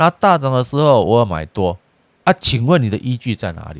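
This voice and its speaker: A man with lively intonation at a moderate pace, in a very clean recording with a silent background and a dry, close sound with no echo. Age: 50s. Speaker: personal finance YouTuber. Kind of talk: casual investment commentary. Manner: halting, many filler particles.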